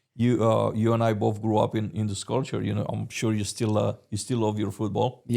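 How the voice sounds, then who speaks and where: A man with a Romanian accent speaks at a fairly quick pace in a fairly low pitch, his dark, mellow tone held to a monotone, flat intonation. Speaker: podcast host. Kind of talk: interview. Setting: in person studio. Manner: hesitant, many fillers.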